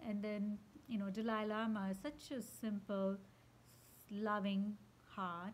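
Somewhat breathy, a woman with a medium pitch and fairly even intonation speaks at a very slow pace with long, frequent pauses. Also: very even loudness. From India. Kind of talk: spiritual reflection monologue. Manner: unscripted, with fillers.

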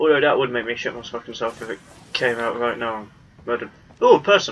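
A man with a British accent talks very fast at a medium pitch with ordinary pitch variation and big swings in loudness, over noticeable background noise. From Britain. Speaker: gaming YouTuber. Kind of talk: let's play commentary. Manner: animated.

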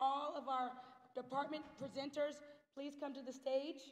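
A woman talks at a moderate pace with a high pitch. Her intonation is monotone and flat. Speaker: school guidance department head; ceremony host. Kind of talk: ceremony emcee speech. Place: hall.

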